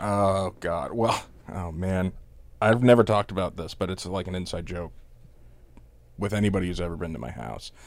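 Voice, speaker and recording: A man with a very deep, low voice and vocal fry speaks at a moderate pace, with long, frequent pauses and big swings in loudness. His pitch varies in an ordinary way, on a very clean recording with a silent background. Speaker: podcast host. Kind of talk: casual chat.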